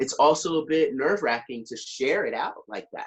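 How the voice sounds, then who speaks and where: In an animated tone, a man talks at a moderate pace. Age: 60s. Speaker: motivational speaker and author. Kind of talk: podcast interview.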